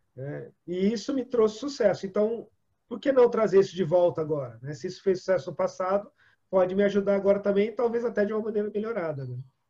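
A man talks at a very fast pace with a high pitch, a dark, mellow tone and lively intonation. His loudness swings widely. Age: 40s. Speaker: storytelling trainer and coach. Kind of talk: interview.

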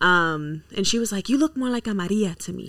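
A woman with an American accent, medium pitch and a bright, sharp tone, at a fairly quick pace with lively intonation, in a very clean recording with a silent background. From Washington DC area (DMV). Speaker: content creator and model. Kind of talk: casual chat.

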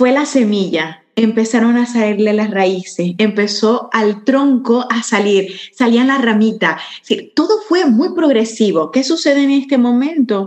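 A woman with a normal speaking voice, fairly high in pitch, with lively intonation at a fairly slow pace. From Venezuela. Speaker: entrepreneur and spiritual guide. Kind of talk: casual interview chat.

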